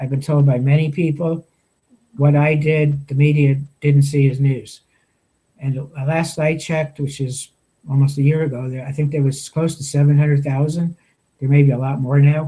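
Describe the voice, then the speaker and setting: Speaking at a moderate pace with long, frequent pauses, a man with an American accent has a fairly high pitch, a dark, mellow tone, a somewhat breathy quality and flat, monotone intonation. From New York. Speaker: veterans' storyteller, founder. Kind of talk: interview. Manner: halting.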